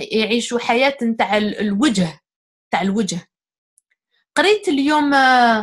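A woman with a strong Algerian accent and a high pitch speaks at a fairly slow pace, her intonation lively, with long, frequent pauses. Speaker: guest speaker on psychology. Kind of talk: casual interview discussion.

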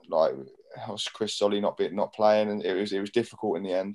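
Very fast and fairly low, a man with a southern English accent talks in a dark, mellow tone. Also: quiet background. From southern England, Portsmouth area; southern England. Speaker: professional footballer and club captain; guest. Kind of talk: casual interview chat. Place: home room. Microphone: video call.

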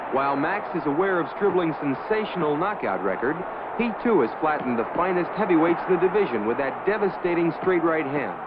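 A high-pitched man with lively intonation at a fairly quick pace, over noticeable background noise. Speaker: newsreel narrator. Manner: brisk, authoritative, declamatory newsreel announcer delivery.

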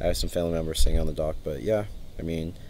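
The tone is dark and mellow, with ordinary pitch variation. The sound is dry with no echo, over light background noise. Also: man. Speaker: vlogger. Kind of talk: casual vlog chat. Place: home room. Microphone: phone near.

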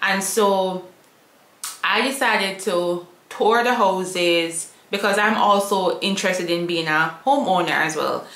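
A woman's fairly low, fairly bright voice at a slow pace, ordinary pitch variation, and strong room echo

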